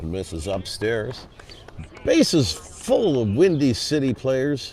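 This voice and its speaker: Music plays in the background as a man talks at a very slow pace. His medium-pitched voice makes very wide pitch swings. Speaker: baseball play-by-play broadcaster. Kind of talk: live commentary. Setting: broadcast booth at ballpark.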